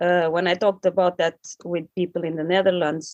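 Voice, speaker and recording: The speech has a monotone, flat intonation and a Portuguese accent, with a dry, close sound that has no echo. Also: woman. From Portugal, countryside. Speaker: activist. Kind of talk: podcast interview.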